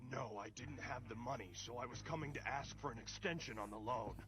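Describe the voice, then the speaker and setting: Over loud background noise, a man at a medium pitch does a cartoonish character voice at a fairly quick pace. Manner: haughty, indignant.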